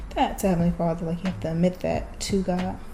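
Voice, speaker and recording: A woman's voice comes with noticeable background noise and audible room echo. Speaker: vlogger. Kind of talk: casual monologue. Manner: halting.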